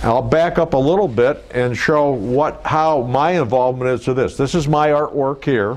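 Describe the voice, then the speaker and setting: In a normal speaking voice, a man talks at a fairly high pitch and a moderate pace, with ordinary pitch variation and hardly any pauses. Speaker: automotive artist and car designer. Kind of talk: casual explanatory talk, interview answer.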